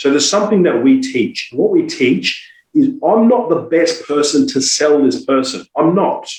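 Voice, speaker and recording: A man's high voice in an Australian accent, moderate in pace with hardly any pauses, very wide pitch swings and very even loudness. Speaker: sales trainer. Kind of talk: podcast interview. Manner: animated.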